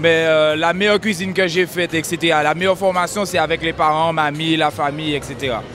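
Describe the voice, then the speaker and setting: A man's high-pitched, fairly quick speech with fairly even intonation over music in the background. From Martinique. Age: 20s. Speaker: chef. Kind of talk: interview. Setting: food fair. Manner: hesitant.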